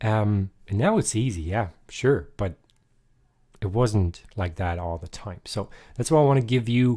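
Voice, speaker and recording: With a dark, mellow tone and fairly low pitch, a man talks with ordinary pitch variation on a very clean recording over a silent background. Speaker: guitar teacher. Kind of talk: live-streamed guitar tutorial. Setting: live stream. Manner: casual, hesitant with fillers; deliberately lower, louder voice.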